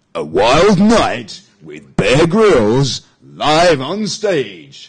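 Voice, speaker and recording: In a put-on character voice, a man with a fairly high pitch speaks at a very slow pace. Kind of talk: epic trailer narration. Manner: dramatic, announcer-like.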